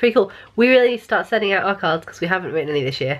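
A woman speaks with an English accent. Her pitch swings very widely. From England. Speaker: family vlogger; vlogger. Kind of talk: casual vlog chat. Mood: cheerful, chatty. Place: home room. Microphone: phone near.

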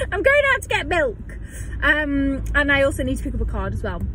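A woman's voice, dry with no echo, against noticeable background noise. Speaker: vlogger. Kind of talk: casual vlog chat. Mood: chatty, excited, laughing. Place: car. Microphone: phone near.

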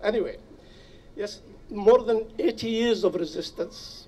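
His voice is high for a man, with lively intonation and a fairly slow pace. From Nablus, Palestine. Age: 80s+. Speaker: refugee and activist. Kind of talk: rally speech. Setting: outdoors. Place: open country. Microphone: podium.

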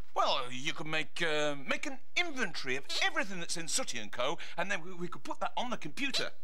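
Over noticeable background noise, a man talks fairly quickly in a raised, projected voice. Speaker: TV presenter. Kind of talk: scripted children's TV dialogue. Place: studio.

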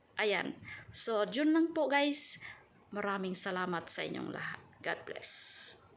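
Her pitch swings very widely around a medium level as the woman speaks at a very slow pace. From Mindanao, Philippines (Subanen). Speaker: vlogger, domestic worker. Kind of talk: casual vlog talk to camera. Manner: halting.

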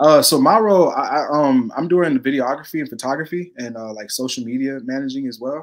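With an American accent and a plain, everyday voice, a man talks at a fairly quick pace with hardly any pauses, his fairly high pitch showing ordinary variation while his loudness swings widely. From Texas. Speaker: community organization member, videographer. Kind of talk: casual interview on livestream. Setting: video call livestream.

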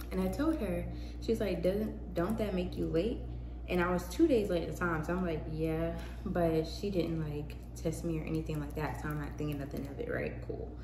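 Noticeable background noise behind a woman at a moderate pace. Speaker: vlogger. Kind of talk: casual vlog monologue. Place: home room. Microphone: phone near.

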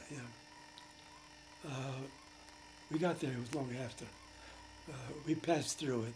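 A man with an American accent at a moderate pace, with fairly even intonation, long, frequent pauses and noticeable background noise. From Brooklyn, New York. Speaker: war veteran. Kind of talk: interview answer. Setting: home. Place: home room.

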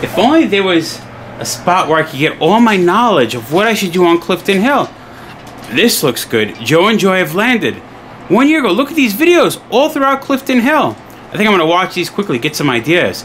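With light background noise, a man talks at a moderate pace in a high pitch, his pitch swinging very widely. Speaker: travel vlogger. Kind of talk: casual vlog chat. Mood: playful, joking. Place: home room. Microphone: phone near.

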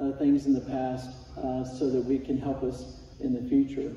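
A man's monotone, flat delivery, with audible room echo. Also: moderate pace. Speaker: Sunday school teacher. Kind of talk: sermon. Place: church. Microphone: camera far.

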